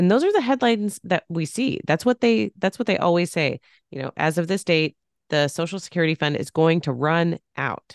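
A normal speaking voice at a moderate pace, with a quiet background and dry, close sound with no echo. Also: woman, fairly low pitch for a woman, lively intonation. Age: 30s. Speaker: podcast host and financial planner. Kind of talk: casual interview chat.

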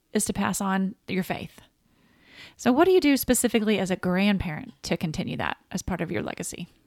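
A woman with a Southern US accent at a medium pitch and a fairly quick pace, with ordinary pitch variation and a dry, close sound with no echo in a very clean recording with a silent background. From US South. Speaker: podcast co-host. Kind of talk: casual chat.

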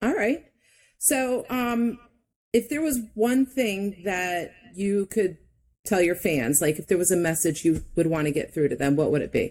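Her pitch is medium for a woman, with very wide swings. She talks at a fairly slow pace. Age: 40s. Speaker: podcast host. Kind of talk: casual interview chat.

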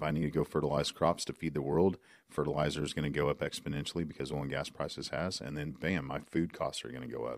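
With an American accent and vocal fry, a man talks at a very fast pace in a very deep, low pitch and fairly even intonation. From Oklahoma. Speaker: oil and gas podcast host. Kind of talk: casual chat. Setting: studio.

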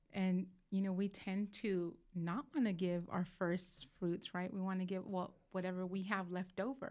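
A woman with an American accent speaks at a fairly slow pace with hardly any pauses and very even loudness. Her unremarkable speaking voice sits at a medium pitch, with fairly even intonation. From Southern California. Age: 40s. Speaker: church small group leader. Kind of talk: casual chat.

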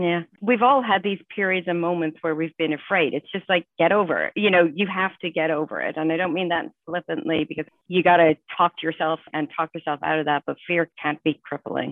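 This woman talks at a fairly quick pace in a fairly low register. Her pitch rises and falls in an ordinary way. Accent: Irish. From Ireland. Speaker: financial executive. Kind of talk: panel discussion.

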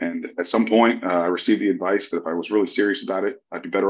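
A man speaks at a very fast pace. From Louisiana, Lafayette. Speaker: military veteran, cybersecurity director. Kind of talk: interview. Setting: video call.

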